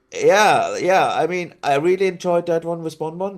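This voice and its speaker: A man with a slight German accent at a moderate pace, on a very clean recording with a silent background. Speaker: city-building video creator, podcast guest. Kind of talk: casual chat.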